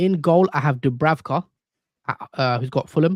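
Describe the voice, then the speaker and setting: A man with a British accent speaks at a moderate pace in a fairly high voice with ordinary pitch variation. The sound is dry and close with no echo, over a quiet background. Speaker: fantasy football streamer. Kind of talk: live stream chat. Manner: casual, conversational.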